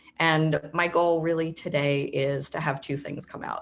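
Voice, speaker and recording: A woman speaks at a very deep, low pitch. Her intonation is fairly even. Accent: Philadelphia. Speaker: nonprofit managing director. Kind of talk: presentation on a video call.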